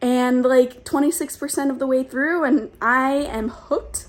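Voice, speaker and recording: A woman speaks in an animated tone at a moderate pace. The recording is very clean, with a silent background. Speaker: book youtuber. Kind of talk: casual vlog.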